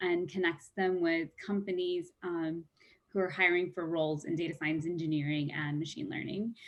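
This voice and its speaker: A woman with a fairly low pitch and an ordinary speaking voice talks at a moderate pace with fairly even intonation. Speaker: diversity and inclusion program lead. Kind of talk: presentation rehearsal.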